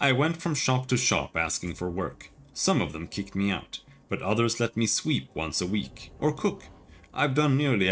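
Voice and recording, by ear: Lively intonation runs through this natural voice reading aloud.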